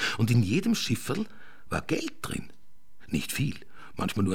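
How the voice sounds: Just a natural reading voice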